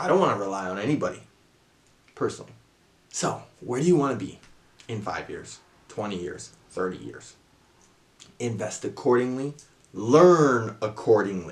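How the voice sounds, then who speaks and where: Speaking at a moderate pace and medium pitch, a man uses lively intonation and big swings in loudness, with long, frequent pauses and audible room echo. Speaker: investing YouTuber. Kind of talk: talking-head tutorial. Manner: casual, with self-corrections.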